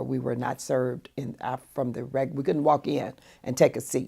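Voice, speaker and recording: A woman's very deep, low voice with vocal fry, a dark, mellow tone and an American accent, at a moderate pace. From US South, Sarasota, Florida. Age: 60s. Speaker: pastor. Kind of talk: oral history interview.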